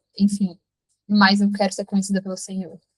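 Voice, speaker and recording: A woman speaks at a medium pitch, somewhat breathy. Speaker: app founder and devotional leader. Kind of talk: testimony and devotional talk in a live stream. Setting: live online meeting with chat.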